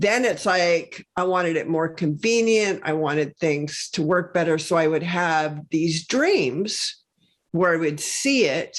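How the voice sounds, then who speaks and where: A woman's plain, everyday voice, fairly low in pitch with ordinary pitch variation, at a fairly slow pace and very even loudness, in a very clean recording with a silent background. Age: 60s. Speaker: health and wellness entrepreneur. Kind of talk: podcast interview. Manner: conversational, many fillers.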